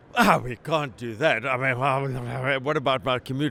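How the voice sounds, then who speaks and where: The voice has a South African accent and a bright, sharp tone. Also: man. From South Africa, Cape Town. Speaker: company president. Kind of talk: interview. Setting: trade conference. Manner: animated.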